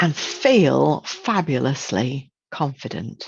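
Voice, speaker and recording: Against a quiet background, a woman with a British accent and a very deep, low voice speaks in an animated tone. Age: 60s. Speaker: image consultant and trainer. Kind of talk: webinar presentation.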